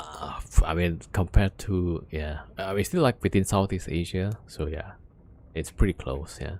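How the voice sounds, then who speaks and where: A man talks at a moderate pace in a very deep, low pitch. His pitch variation is ordinary, while his loudness swings widely. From Indonesia. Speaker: game streamer. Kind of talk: casual live-stream chat.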